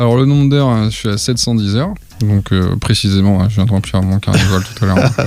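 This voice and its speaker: Over noticeable background noise, a man talks at a very fast pace in a fairly low pitch, with ordinary pitch variation and very even loudness. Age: 20s. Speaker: flight instructor. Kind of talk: podcast interview.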